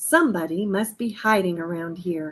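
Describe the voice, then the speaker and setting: A woman puts on a character voice. Her pitch is medium and her pace moderate. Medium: read story.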